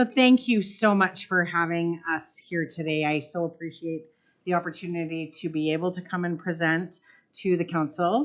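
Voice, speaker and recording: In a Canadian accent, a woman talks at a moderate pace with a fairly low pitch and ordinary pitch variation. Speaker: hospital foundation CEO. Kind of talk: presentation to town council. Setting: council meeting.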